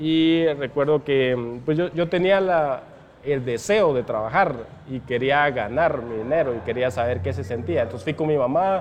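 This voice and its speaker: A man's fairly high pitch and lively intonation at a fairly slow pace, with noticeable background noise. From Guatemala, San Marcos (rural village). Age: 30s. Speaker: e-commerce entrepreneur. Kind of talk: interview. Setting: coffee shop.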